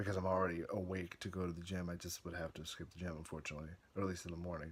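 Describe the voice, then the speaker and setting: A man mumbles quietly in a very deep, low pitch. His intonation is monotone and flat. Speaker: video blogger. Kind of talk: casual vlog monologue. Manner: quiet, mumbling; halting, hesitant.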